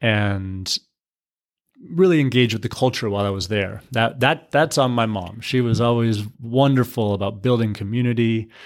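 A man with an American accent has an ordinary speaking voice, medium pitch and ordinary pitch variation, speaking at a moderate pace on a very clean recording with a silent background. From US, military family moving around. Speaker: nonprofit executive director. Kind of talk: interview.

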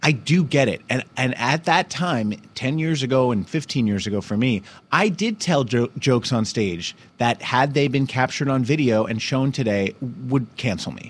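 With lively intonation, a man speaks in a plain, everyday voice at a medium pitch and a moderate pace. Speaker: podcast host and comedian. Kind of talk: casual comedic chat. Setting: studio, live podcast.

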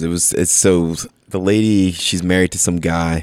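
A man with an American accent speaks in a very deep, low voice with fairly even intonation, recorded very cleanly against a silent background. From US Northeast, Bethlehem, Pennsylvania. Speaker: gym owner. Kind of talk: casual chat. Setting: in a gym.

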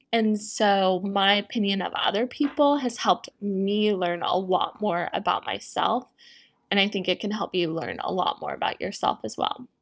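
A woman's voice at medium pitch with ordinary pitch variation, a moderate pace, and a very clean recording over a silent background. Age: 20s. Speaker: podcast host and health coach. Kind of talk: solo casual monologue. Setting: at home, dog in background. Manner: animated.

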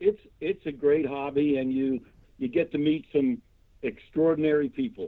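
A man speaks in a normal speaking voice. His pace is moderate, with ordinary pitch variation. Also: fairly high pitch for a man. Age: 60s. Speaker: model kit maker, hobbyist. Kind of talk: casual interview chat.

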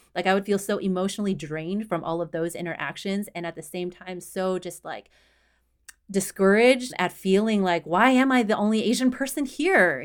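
Using a normal speaking voice, a woman with an American accent speaks at a moderate pace and medium pitch with ordinary pitch variation. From Houston, Texas. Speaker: runner and diversity advocate. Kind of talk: casual interview.

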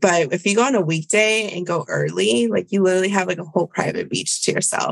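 The sound of this woman's medium-pitched voice is dry and close, with no echo. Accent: Spanish. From Virginia, US (born in Bolivia). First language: Spanish. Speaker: travel podcaster and public health advisor. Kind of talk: casual interview chat.

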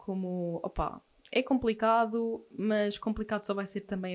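Here a woman speaks with a European Portuguese accent. Her medium-pitched voice keeps a fairly even intonation. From Portugal, Aveiro. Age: 20s. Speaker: podcast host, former bodybuilder. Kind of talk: casual monologue.

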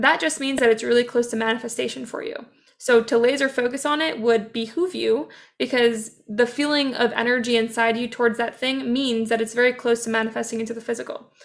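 At a fairly quick pace, a woman with a plain, everyday voice speaks at a fairly high pitch and with fairly even intonation. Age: 20s. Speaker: business and manifestation mentor. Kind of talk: interview conversation.

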